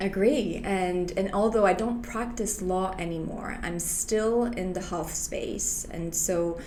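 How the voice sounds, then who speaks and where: With hardly any pauses, a woman speaks at a very slow pace and with ordinary pitch variation, amid noticeable background noise and audible room echo. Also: medium pitch for a woman. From Quebec, Canada (Montreal). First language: French. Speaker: health insurance broker and former lawyer. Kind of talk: interview.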